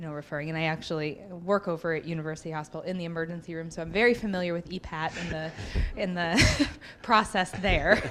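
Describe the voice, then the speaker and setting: A woman with a fairly low pitch talks very fast, her intonation fairly even but her loudness swinging widely. Noticeable background noise runs underneath. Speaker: new faculty member, emergency room worker. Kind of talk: audience question at workshop.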